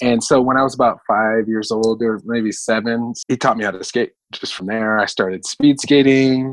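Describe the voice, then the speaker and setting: With a plain, everyday voice, a man talks at a moderate pace and a medium pitch. The sound is dry and close with no echo. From Southern California (Venice Beach), early childhood in Hawaii. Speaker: roller skate instructor and therapist. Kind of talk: casual interview.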